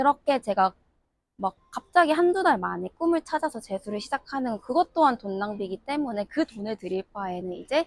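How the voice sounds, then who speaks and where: The sound is dry and close with no echo as a woman speaks at a moderate pace. Her pitch swings very widely. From South Korea. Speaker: international student graduate. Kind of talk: interview.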